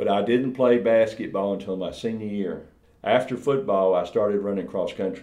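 The speech comes from a man at a moderate pace. There is audible echo in the room. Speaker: former NFL player. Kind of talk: interview.

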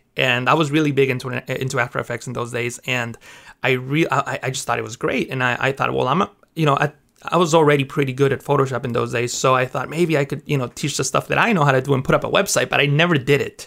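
Speaking at a very fast pace in a Mexican accent, a man has a bright, sharp tone, vocal fry and fairly even intonation. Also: medium pitch for a man. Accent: Mexican-accented English, California. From Mexico. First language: Spanish. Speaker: graphic artist and Photoshop teacher. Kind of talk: casual interview chat.

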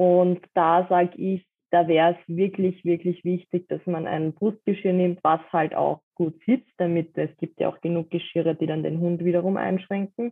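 Hardly pausing, a woman speaks at a moderate pace in a fairly low voice with monotone, flat intonation. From Austria, Vienna. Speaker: dog harness maker. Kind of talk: interview.

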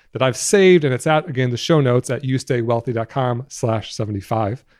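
A man with an American accent and medium pitch talks at a very fast pace with ordinary pitch variation over a quiet background. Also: dry, close sound with no echo. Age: 30s. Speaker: guest podcast host, personal finance educator. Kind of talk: solo podcast monologue. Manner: casual, conversational.

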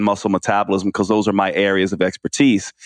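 In a plain, everyday voice, a man with an American accent and a fairly low pitch talks at a fairly quick pace. The sound is dry and close with no echo, over a quiet background. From New York (Queens), raised partly in US South. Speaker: naturopathic physician and author. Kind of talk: interview.

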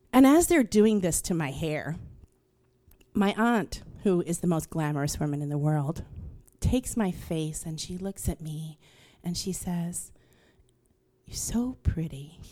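A woman with a New York accent has a fairly low pitch, a dark, mellow tone and lively intonation. She speaks at a fairly slow pace with long, frequent pauses. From New York, Queens. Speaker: storyteller. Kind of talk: stage storytelling; casual interview. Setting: stage with audience.

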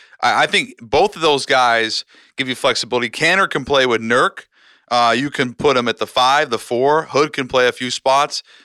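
An American man speaks at a medium pitch and moderate pace with ordinary pitch variation and a bright, sharp tone. The recording is very clean, with a silent background and a dry, close sound with no echo. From US Pacific Northwest, Seattle. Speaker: sports journalist. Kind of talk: casual chat.

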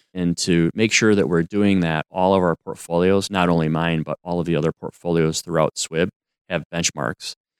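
A man's very deep, low voice with an American accent, monotone and flat in intonation, with a dry, close sound and no echo. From Madison, Wisconsin. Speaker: investment portfolio manager. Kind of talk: interview.

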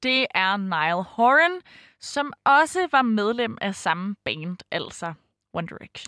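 A woman speaks at a very slow pace with a fairly high pitch and very wide pitch swings. Her loudness swings widely, and the very clean recording has a dry, close sound, no echo and a silent background. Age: 20s. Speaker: fan fiction writer. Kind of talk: interview. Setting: studio.

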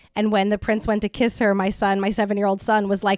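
In a very clean recording with a silent background and a dry, close sound with no echo, a woman talks at a fairly quick pace in a fairly high pitch, with a plain, everyday voice. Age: 30s. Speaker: podcast host and comedy show organizer. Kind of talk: casual chat. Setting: in-person studio recording.

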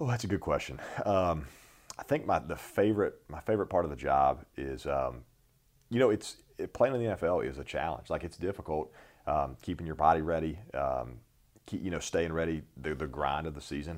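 A man with a very deep, low voice and an American accent, fairly quick pace, vocal fry and lively intonation. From North Carolina, US South. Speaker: football placekicker. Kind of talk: interview.

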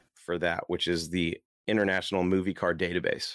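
In a very clean recording with a silent background, a man speaks with a very deep, low pitch and fairly even intonation. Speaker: car podcast host. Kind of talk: casual talk show segment. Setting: video stream with screen sharing. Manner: casual, with filler words.

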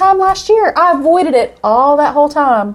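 On a very clean recording with a silent background, a woman speaks at a moderate pace. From East Tennessee (Oak Ridge, Knoxville). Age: 40s. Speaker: guest co-host. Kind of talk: casual chat.

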